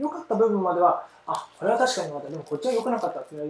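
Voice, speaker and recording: A man rushes along at a very fast pace, his pitch swinging very widely, with noticeable background noise behind him. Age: 30s. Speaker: parenting podcast host. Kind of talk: casual solo talk; scripted outro.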